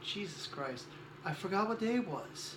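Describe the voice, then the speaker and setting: A soft-spoken man talks. Both audible room echo and noticeable background noise are present. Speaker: cosplayer vlogger. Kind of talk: casual vlog. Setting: guest room at home.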